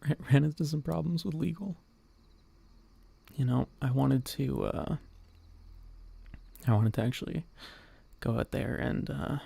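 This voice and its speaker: Using lively intonation, a man with a medium pitch and a somewhat breathy, dark, mellow tone talks at a moderate pace with long, frequent pauses, in a dry, close sound with no echo. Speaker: VTuber streamer. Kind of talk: ASMR talk. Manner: speaking quietly, not whispering; halting, repeats words.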